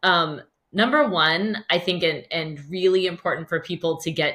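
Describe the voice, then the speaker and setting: A woman's normal speaking voice, fairly low in pitch, with ordinary pitch variation and a fairly slow pace. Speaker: podcast host. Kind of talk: interview.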